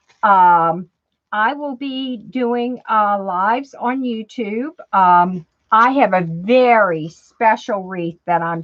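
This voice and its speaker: Speaking at a very slow pace with a slight New Orleans accent, a woman has medium pitch and ordinary pitch variation. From New Orleans, Louisiana. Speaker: crafter. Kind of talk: tutorial. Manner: chatty, casual with fillers.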